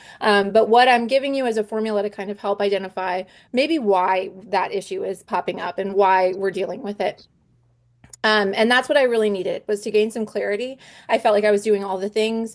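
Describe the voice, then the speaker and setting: Against a quiet background, a woman talks fairly quickly in a fairly high voice with fairly even intonation. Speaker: homeschooling mom and essential oils business presenter. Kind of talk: online presentation. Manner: fast.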